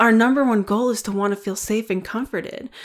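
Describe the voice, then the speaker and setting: A woman with an unremarkable speaking voice talks at a fairly quick pace and a medium pitch on a very clean recording with a silent background. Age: 30s. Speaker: wellness podcast host. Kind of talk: solo podcast monologue on self-compassion. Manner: warm, gentle.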